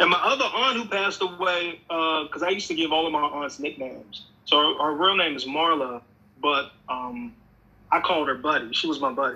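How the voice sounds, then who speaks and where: This man has a normal speaking voice with an American accent. He talks at a fairly quick pace with lively intonation. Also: fairly high pitch for a man. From Pennsylvania, US. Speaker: music artist and producer. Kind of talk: casual chat.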